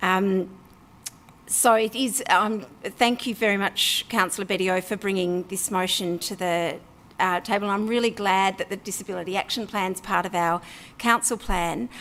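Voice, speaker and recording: In an Australian accent, a woman speaks at a medium pitch with ordinary pitch variation. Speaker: local councillor. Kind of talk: council meeting debate speech. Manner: fast.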